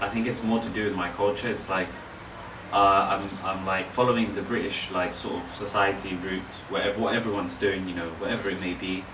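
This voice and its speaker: A man with a London accent talking very fast in a fairly low, monotone, flat voice, with audible room echo and noticeable background noise. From London, England. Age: 20s. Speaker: author and photographer. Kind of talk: casual interview. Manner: hesitant, many fillers.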